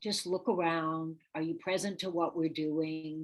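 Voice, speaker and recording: In a fairly low pitch and at a fairly slow pace, a woman with an unremarkable speaking voice talks over a quiet background. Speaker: real estate coach. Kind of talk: live webinar workshop.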